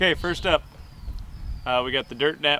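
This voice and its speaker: Bright and sharp in tone, a man talks at a fairly quick pace with ordinary pitch variation. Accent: American. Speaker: hunting YouTuber. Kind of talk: product review. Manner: fast; casual.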